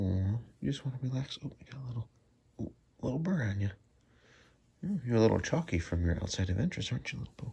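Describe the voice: Talking fast with lively intonation, a man has a dark, mellow tone, a husky, rough edge and vocal fry, broken by long, frequent pauses. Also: medium pitch for a man.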